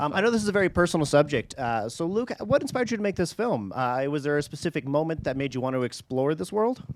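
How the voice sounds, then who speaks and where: A man talks very fast, with hardly any pauses. His pitch is fairly high and swings very widely. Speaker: podcast host. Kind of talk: casual podcast intro; live Q&A moderating. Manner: fast when nervous.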